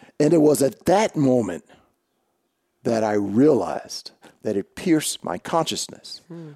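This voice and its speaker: In a dark, mellow tone, a man speaks fairly slowly at a fairly high pitch with very wide pitch swings, the sound dry and close with no echo. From New Jersey and Colorado. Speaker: author and speaker. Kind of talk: interview about personal loss.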